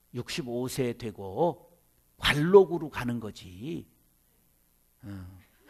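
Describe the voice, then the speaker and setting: At a very slow pace with long, frequent pauses, a man of medium pitch speaks with lively intonation. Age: 50s. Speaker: pastor. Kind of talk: seminar lecture. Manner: animated.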